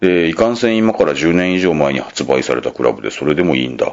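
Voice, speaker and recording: At a very fast pace, a man speaks in a very deep, low voice with lively intonation. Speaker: podcast host. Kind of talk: casual solo podcast talk.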